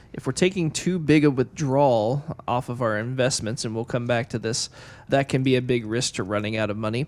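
A plain, everyday voice from a man, fairly quick in pace, pitched at a medium level with ordinary variation. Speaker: financial advisor co-host. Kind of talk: radio talk show.

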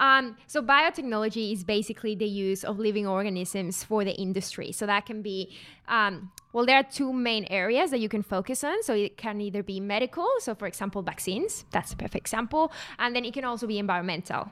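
A woman with a Mexican accent, a bright, sharp tone, a fairly high pitch with ordinary variation, a fairly quick pace, and a very clean recording with a silent background. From Mexico. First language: Spanish. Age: 20s. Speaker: carbon consultant. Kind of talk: casual interview. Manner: laughs often.

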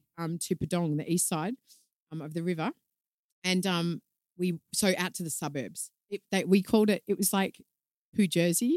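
Over a dry, close sound with no echo, a woman with an Australian accent speaks at a fairly low pitch and moderate pace, with ordinary pitch variation and long, frequent pauses. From Australia, Melbourne. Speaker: communications consultant and yoga instructor. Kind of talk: casual chat. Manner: says um a lot.

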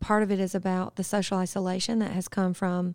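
In a Southern US accent, a woman talks at a fairly quick pace and medium pitch with monotone, flat intonation on a very clean recording with a silent background. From US South, upstate South Carolina. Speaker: public health researcher. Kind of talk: interview.

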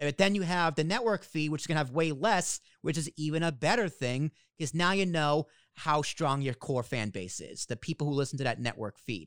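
A man with an American accent talks at a fairly quick pace in a fairly high pitch with lively intonation, heard in a dry, close sound with no echo on a very clean recording with a silent background. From Boston. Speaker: podcast host. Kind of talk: casual interview chat.

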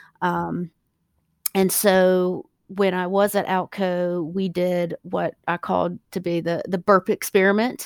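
A woman with an American accent, very slow, monotone and flat, on a very clean recording with a silent background. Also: medium pitch for a woman. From US South, South Carolina. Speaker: plant scientist and hemp company founder. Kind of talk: interview. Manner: hesitant, many fillers.

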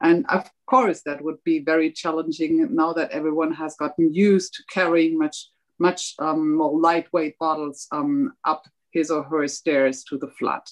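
In a normal speaking voice, a woman talks at a fairly slow pace with fairly low pitch and ordinary pitch variation, the sound dry and close with no echo. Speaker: politician. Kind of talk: panel discussion. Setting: video call.

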